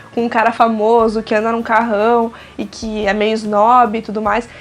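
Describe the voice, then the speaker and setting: A woman with a fairly high pitch talks at a moderate pace amid noticeable background noise. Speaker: music reviewer YouTuber. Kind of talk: album review vlog.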